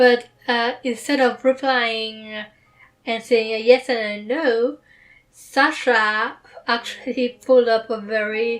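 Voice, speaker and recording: Over music in the background, a woman speaks very slowly in a high pitch with fairly even intonation. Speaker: book reader. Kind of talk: book reading with commentary.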